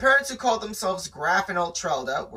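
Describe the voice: The reading aloud is plain, and the intonation rises and falls in a lively way.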